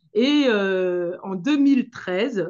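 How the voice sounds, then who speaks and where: A woman speaks with a Senegalese accent. Her pace is very slow, with ordinary pitch variation. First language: Manjak (speaking French). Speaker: dance teacher and association founder. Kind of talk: interview talk about her association. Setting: video call. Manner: hesitant, many fillers.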